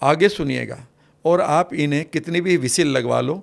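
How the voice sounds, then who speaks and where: A fairly high male voice with vocal fry and ordinary pitch variation, on a very clean recording with a silent background. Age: 60s. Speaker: NLP expert. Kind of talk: podcast interview.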